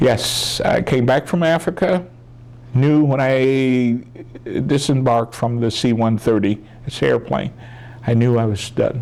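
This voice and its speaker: There is noticeable background noise as a man speaks with an American accent. His pace is fairly slow, with ordinary pitch variation. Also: medium pitch for a man. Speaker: military veteran, oral history interviewee. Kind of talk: oral history interview answer, storytelling.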